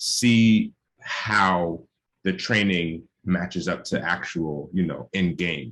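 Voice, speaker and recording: Very deep and low in pitch, a man speaks with ordinary pitch variation. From New York, the Bronx. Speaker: medical student. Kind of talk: panel discussion. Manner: casual, filler-heavy.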